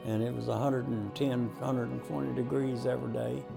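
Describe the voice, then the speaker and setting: Music plays in the background as a man talks at a moderate pace. He speaks in a Texan accent. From Texas. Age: 80s+. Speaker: war veteran. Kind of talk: interview answer.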